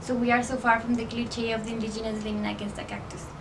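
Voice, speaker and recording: A woman talks at a very fast pace. Noticeable background noise and audible room echo fill the recording. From Mexico. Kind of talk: presentation speech. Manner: formal.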